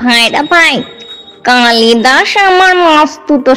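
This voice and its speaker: A put-on character voice sounds female, robotic and high-pitched, with a very slow pace. Faint music plays in the background. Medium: read story. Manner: gruff, suspicious.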